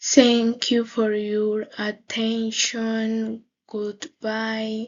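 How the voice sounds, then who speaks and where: A woman's fairly high voice, monotone and flat, at a very slow pace. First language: Spanish. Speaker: English language student. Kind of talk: class presentation. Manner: halting.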